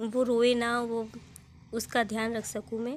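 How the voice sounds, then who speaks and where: The woman speaks in a high pitch. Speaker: village vlogger and mother. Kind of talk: vlog voiceover narration. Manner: casual, with hesitations.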